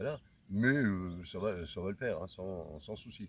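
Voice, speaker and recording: A man's fairly low voice at a very slow pace, with lively intonation. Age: 60s. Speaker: hiker vlogger. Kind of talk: vlog talk. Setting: outdoors. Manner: halting.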